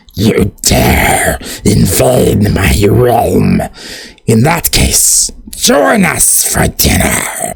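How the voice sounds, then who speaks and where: A man uses a put-on character voice, raspy and delivered at a very slow pace. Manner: menacing.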